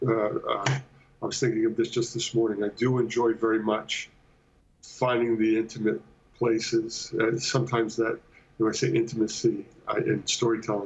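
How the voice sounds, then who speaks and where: Somewhat breathy, a man speaks at a moderate pace with a monotone, flat intonation. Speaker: guest. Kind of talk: interview answer. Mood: thoughtful, relaxed. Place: home room. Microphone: video call.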